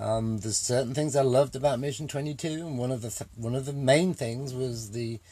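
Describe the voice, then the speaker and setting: Somewhat breathy, a man speaks in a medium pitch with a dark, mellow tone. He leaves hardly any pauses. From England. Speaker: army veteran, charity volunteer leader. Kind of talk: interview. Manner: halting, many fillers.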